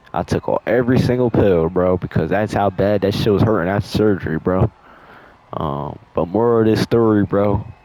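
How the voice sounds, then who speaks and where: With noticeable background noise behind him, a man speaks at a moderate pace in a fairly low voice with ordinary pitch variation. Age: 20s. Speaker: storytime youtuber. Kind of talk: storytime over gameplay. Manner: casual, slangy.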